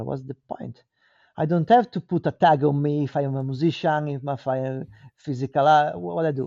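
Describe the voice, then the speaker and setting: Here is a man with a fairly high pitch. He speaks in an Italian accent. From Italy. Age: 40s. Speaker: artist. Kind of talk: casual interview.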